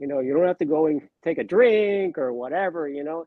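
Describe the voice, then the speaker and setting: In a normal speaking voice, a man talks at a moderate pace with lively intonation and a fairly high pitch. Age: 60s. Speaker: sports card collector and YouTuber. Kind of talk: casual panel chat on a livestream. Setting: live online stream.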